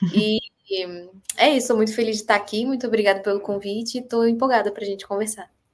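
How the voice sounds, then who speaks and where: At a very fast pace, a woman with a fairly high pitch talks with fairly even intonation. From Brazil, Brasília. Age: 20s. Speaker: screenwriter. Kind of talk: casual chat.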